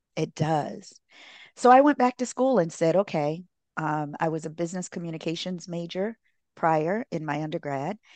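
An ordinary speaking voice from a woman, fairly low in pitch, at a moderate pace with lively intonation, dry and close with no echo against a quiet background. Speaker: relationship therapist and author. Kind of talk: casual interview.

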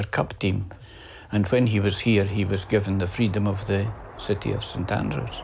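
A man with a Scottish accent speaks at a moderate pace, his pitch fairly low and his intonation fairly even. Vocal fry runs through his voice. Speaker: golf historian and journalist. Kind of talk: interview.

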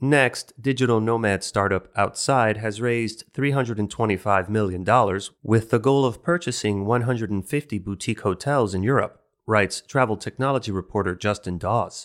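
A man's plain, everyday voice with ordinary pitch variation and hardly any pauses, on a very clean recording with a silent background. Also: medium pitch for a man, moderate pace. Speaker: news podcast presenter. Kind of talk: scripted news bulletin read aloud, brisk business-news style. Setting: studio. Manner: brisk, even and polished; formal, steady, neutral newsreader delivery.

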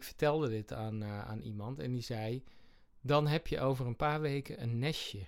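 Speaking at a moderate pace, a man has a plain, everyday voice of medium pitch with ordinary pitch variation. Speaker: comedian and sketch podcast host. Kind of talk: casual chat.

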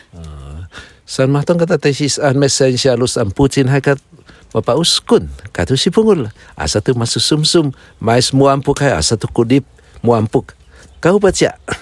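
At a moderate pace, a man talks with a fairly high pitch and lively intonation, leaving long, frequent pauses. The sound is dry and close, with no echo. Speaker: pastor and native-language teacher. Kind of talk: casual chat. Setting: outdoors by a fire. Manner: halting.

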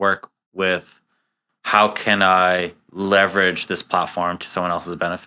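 A man's very deep, low voice, bright and sharp in tone, fairly slow and monotone, on a very clean recording with a silent background. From US, Queens, New York. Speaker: tech startup co-founder. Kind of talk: interview conversation. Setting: office conference room. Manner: halting.

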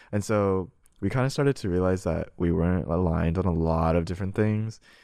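A man speaks with a very deep, low pitch and a dark, mellow tone. The recording is very clean, with a silent background. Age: young. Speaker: podcast guest sharing breakup story. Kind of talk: casual interview. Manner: hesitant, filler-heavy.

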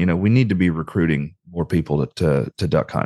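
With a Southern US accent, a man speaks fairly quickly and with lively intonation in a dry, close sound with no echo. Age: 30s. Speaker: retriever breeder and trainer. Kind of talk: casual chat.

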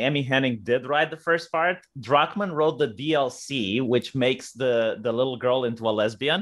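With a Romanian accent, a man speaks at a medium pitch and a moderate pace, using ordinary pitch variation. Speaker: YouTuber. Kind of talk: casual chat.

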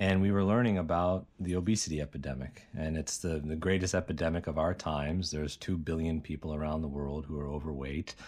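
A man with an American accent, very deep, low pitch, fairly even intonation and a very fast pace, in a very clean recording with a silent background. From US, Pittsburgh area. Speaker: doctor and company co-founder. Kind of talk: interview.

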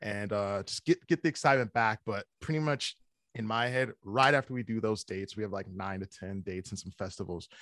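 An ordinary speaking voice from a man with an American accent, fairly low in pitch, at a fairly quick pace with ordinary pitch variation, over a quiet background. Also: dry, close sound with no echo. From US Midwest. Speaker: metal band vocalist. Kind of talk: casual interview. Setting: video call.

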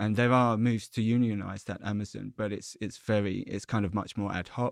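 A man talks at a moderate pace with a fairly low pitch and monotone, flat intonation. The recording is very clean, with a silent background. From Southend-on-Sea, Essex. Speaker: journalist and author. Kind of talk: interview.

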